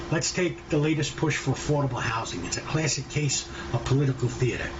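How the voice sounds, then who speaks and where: With a New York accent, a man with a fairly high pitch speaks at a fairly quick pace and with fairly even intonation. The room echo is audible, and there is noticeable background noise. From New York City, Brooklyn. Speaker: podcast host. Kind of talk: opinion monologue.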